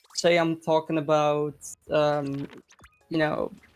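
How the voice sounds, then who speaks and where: Someone speaks with a Dutch accent while music plays in the background. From Netherlands. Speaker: esports commentator. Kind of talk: casual chat. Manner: halting.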